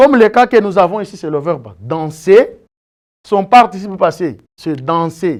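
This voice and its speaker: Fairly slow delivery on a very clean recording with a silent background. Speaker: teacher. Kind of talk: lecture.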